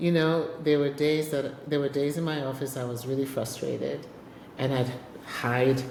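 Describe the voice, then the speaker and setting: A woman speaks with a very deep, low pitch at a moderate pace. Audible room echo and noticeable background noise surround her voice. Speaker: podcast host and business executive. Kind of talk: casual interview chat. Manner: loud, animated.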